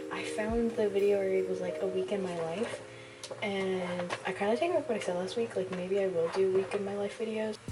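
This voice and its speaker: A soft-spoken woman at a fairly quick pace, ordinary pitch variation, music in the background and audible room echo. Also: medium pitch for a woman. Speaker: lifestyle vlogger. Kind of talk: casual chat. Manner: rambling, filler-heavy.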